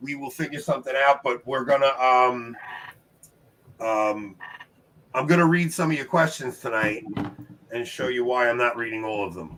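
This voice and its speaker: A man's bright, sharp voice sits at a medium pitch, moving at a moderate pace with ordinary pitch variation and long, frequent pauses. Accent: New York. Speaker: trivia show host. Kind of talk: live-stream casual chat. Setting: live stream with guests. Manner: animated.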